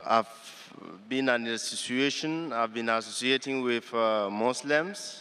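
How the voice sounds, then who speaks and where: A man speaks at a very slow pace. His tone is bright and sharp. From Cameroon. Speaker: audience member asking a question; audience member. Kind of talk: audience question at public lecture. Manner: halting. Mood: earnest, polite. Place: hall. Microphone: handheld.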